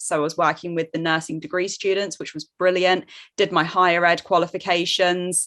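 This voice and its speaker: This woman, with a British accent, has a fairly low pitch and a bright, sharp tone on a very clean recording with a silent background. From Jersey, Channel Islands. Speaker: online course coach. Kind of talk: podcast interview.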